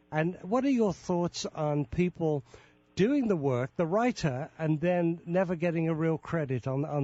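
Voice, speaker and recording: In a British accent, a man with a fairly high pitch talks at a fairly slow pace, his intonation lively and his loudness very even. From Britain. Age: 70s. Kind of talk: interview.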